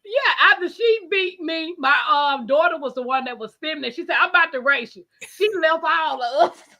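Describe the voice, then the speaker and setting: A woman speaks in a raised, projected voice at extremely high pitch, her loudness swinging widely. Her tone is bright, sharp and animated, with lively intonation at a moderate pace. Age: 40s. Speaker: live stream host. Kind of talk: casual chat. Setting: live stream.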